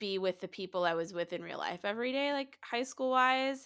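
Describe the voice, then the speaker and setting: A woman speaks at a moderate pace and medium pitch with lively intonation and a bright, sharp tone. The recording is very clean, with a silent background. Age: 20s. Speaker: podcast host. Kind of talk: casual interview.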